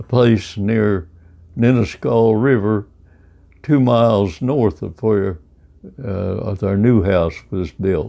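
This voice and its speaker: Speaking very slowly with a rural Midwestern accent, a man has a fairly low pitch, a dark, mellow tone, and ordinary pitch variation. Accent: US Midwest, rural. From Kansas. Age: 80s+. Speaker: centenarian storyteller. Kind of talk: oral history interview. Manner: halting, many fillers.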